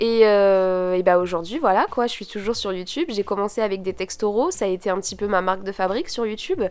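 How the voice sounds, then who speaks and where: A woman at medium pitch talks at a very fast pace with hardly any pauses and ordinary pitch variation. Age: 20s. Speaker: podcaster and student. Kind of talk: solo podcast monologue. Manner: casual, many fillers.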